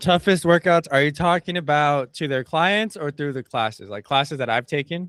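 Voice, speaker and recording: In an American accent, a man with an unremarkable speaking voice talks at a moderate pace and fairly high pitch, with ordinary pitch variation. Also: hardly any pauses. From El Paso, Texas. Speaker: personal trainer. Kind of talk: casual chat.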